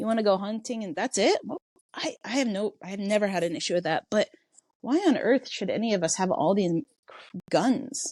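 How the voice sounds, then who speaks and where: A woman with an American accent speaks at a moderate pace. Her fairly high voice has lively intonation. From US Midwest, Iowa. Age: 30s. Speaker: non-profit co-founder. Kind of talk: interview conversation. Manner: halting, many fillers and restarts.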